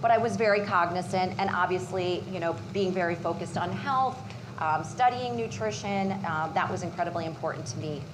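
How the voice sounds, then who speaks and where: Noticeable background noise and audible room echo surround a woman with a fairly low voice. She speaks at a fairly quick pace with lively intonation. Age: 40s. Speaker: patient sharing her story. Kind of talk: personal testimony at a cooking demo. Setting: live demo kitchen with audience and Zoom. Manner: halting, many fillers.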